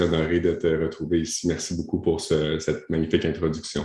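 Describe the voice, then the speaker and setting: A man speaks in a Quebec accent at a fairly quick pace. His very deep, low voice stays monotone and flat. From Ottawa, Canada (French-Canadian). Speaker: coach and speaker. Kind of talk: podcast interview. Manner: hesitant, many fillers.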